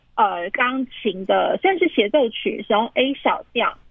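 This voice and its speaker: Her pitch swinging very widely, a woman speaks fairly slowly in a high voice. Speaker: pianist. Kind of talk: interview about classical music. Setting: phone call. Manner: hesitant, many fillers. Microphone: phone recording.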